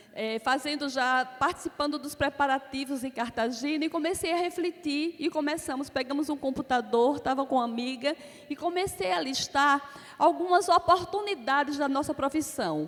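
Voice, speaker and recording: In an Alagoas accent, a woman with a high pitch talks at a moderate pace and ordinary pitch variation. Noticeable background noise runs through the clip. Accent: Alagoas (northeastern Brazilian). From Brazil, Alagoas. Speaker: accounting academy president, panelist. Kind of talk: conference talk.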